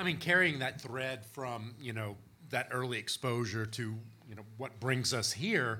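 A man's bright, sharp voice at medium pitch, with a Texan accent, a fairly slow pace and ordinary pitch variation. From small-town Texas. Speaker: author and historian of spirit communication. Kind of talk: live panel discussion. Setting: stage with audience.

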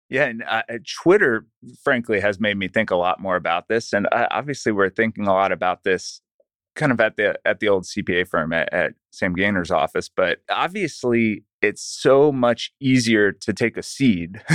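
A normal speaking voice from a man, medium-pitched, at a moderate pace with ordinary pitch variation and a dry, close sound with no echo. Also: quiet background. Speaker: accountant and financial planner. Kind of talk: casual interview chat. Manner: conversational, laughs often.

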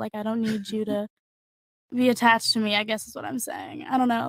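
Speaking fairly quickly with an American accent, a woman uses a fairly high pitch, a somewhat breathy voice and fairly even intonation, recorded dry and close with no echo. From San Diego, Southern California. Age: 20s. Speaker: interior designer and student. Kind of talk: casual chat.

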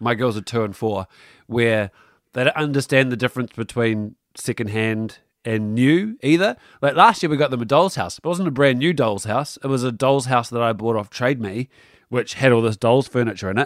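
A man with a New Zealand accent, medium pitch and ordinary pitch variation, at a moderate pace, in a dry, close sound with no echo. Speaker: parenting podcast co-host. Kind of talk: casual chat.

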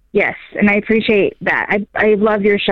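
A woman with a fairly high pitch talks in a normal speaking voice. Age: 30s. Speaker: caller. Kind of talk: call-in advice conversation.

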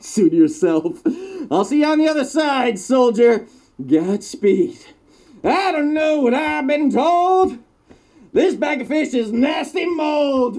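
A high pitch at a fairly slow pace. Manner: manic, gleeful, cackling.

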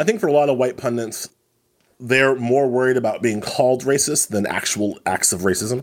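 A normal speaking voice proceeds at a moderate pace with ordinary pitch variation. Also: man, medium pitch for a man. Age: 40s. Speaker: legal analyst and writer. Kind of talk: casual chat.

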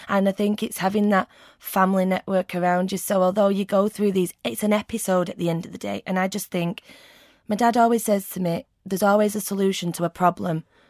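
A woman at medium pitch with fairly even intonation and a fairly quick pace, dry and close with no echo, in a very clean recording with a silent background. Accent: Mancunian. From Manchester, England. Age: 30s. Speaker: burn survivor. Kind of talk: personal testimony interview.

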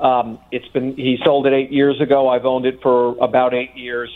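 A man speaks in a New York accent. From New York City (Bronx). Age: 60s. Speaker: sports memorabilia collector. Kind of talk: radio interview.

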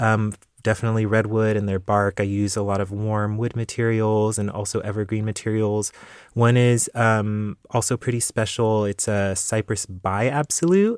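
A man with an American accent talks at a moderate pace in a monotone, flat way. The recording is very clean with a silent background, dry and close with no echo. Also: fairly low pitch for a man. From South San Francisco, California. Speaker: perfumer. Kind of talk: interview. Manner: casual, with fillers.

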